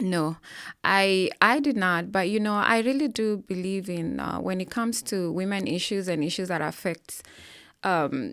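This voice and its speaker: Captured in a very clean recording with a silent background, a soft-spoken woman talks at a medium pitch and a moderate pace. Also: lively intonation. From Kenya. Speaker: nurse turned financial educator. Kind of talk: interview conversation. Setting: studio.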